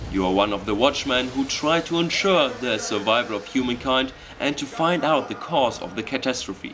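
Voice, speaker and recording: A man's medium-pitched voice with a German accent at a fairly quick pace, against noticeable background noise. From Germany. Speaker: gaming video narrator. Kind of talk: scripted narration. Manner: enthusiastic.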